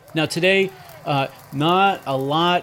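A man talks with a Boston accent. His pitch varies in an ordinary way. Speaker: baseball history podcast host. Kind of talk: casual solo podcast narration.

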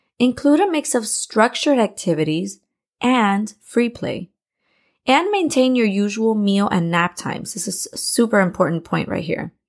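A woman's ordinary speaking voice with an American accent, at a moderate pace with lively intonation. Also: fairly high pitch for a woman, very clean recording, silent background. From Miami, Florida. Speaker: podcast host, preschool teacher and parent. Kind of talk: scripted podcast monologue, parenting tips.

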